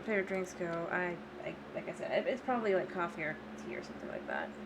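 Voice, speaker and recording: Mumbling in an American accent, a woman speaks amid audible room echo. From Florida, US. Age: 20s. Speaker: gaming streamer. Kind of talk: casual live-stream chat. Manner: hesitant, many fillers.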